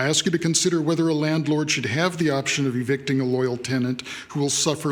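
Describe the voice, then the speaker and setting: A man speaks at a fairly quick pace with fairly even intonation and a fairly high pitch. Noticeable background noise and audible room echo surround him. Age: 60s. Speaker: public commenter at city council meeting. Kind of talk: public comment testimony. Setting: city council chamber.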